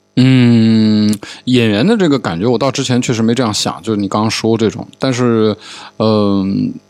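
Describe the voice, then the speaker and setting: An unremarkable speaking voice at a moderate pace. Its pitch varies in an ordinary way. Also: man, medium pitch for a man. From Changsha, Hunan, China. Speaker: podcast host. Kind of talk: casual chat. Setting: studio.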